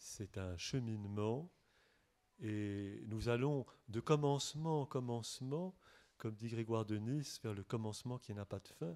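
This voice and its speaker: A man's medium-pitched voice, dark and mellow, with ordinary pitch variation at a fairly slow pace on a very clean recording against a silent background. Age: 60s. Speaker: monk and author. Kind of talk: bookshop talk with audience. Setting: bookshop event with audience. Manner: halting.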